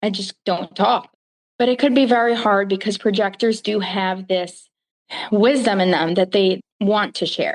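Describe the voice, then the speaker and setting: Speaking fairly slowly, a woman with an American accent holds a medium pitch with ordinary variation. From US Northeast (Brooklyn, New York). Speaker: human design practitioner. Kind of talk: podcast interview.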